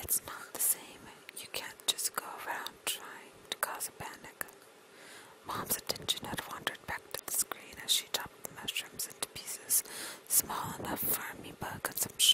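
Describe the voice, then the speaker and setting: A woman whispering at a moderate pace over noticeable background noise. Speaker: whisper video creator (ASMR-style). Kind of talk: whispered reading of a novel passage. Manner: whispered, soft.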